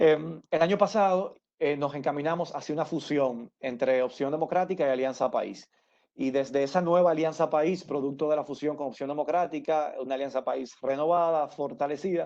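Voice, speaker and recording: A fairly high-pitched man at a moderate pace, against a quiet background. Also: fairly even intonation. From Dominican Republic, Santo Domingo. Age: 30s. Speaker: political candidate. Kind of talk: interview. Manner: halting.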